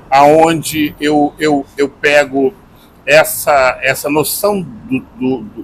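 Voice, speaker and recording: This is a man. His pitch sits fairly high. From Rio de Janeiro, Brazil. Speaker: singer-songwriter and journalist. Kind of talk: interview answer.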